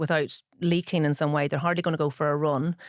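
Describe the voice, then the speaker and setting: In a very clean recording with a silent background, a woman with a Northern Irish accent speaks at a fairly quick pace. Her voice is very deep and low, with flat, monotone intonation. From Ireland, Dublin (Dundrum), northern-accented parents. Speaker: pharmacist and author. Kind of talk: interview.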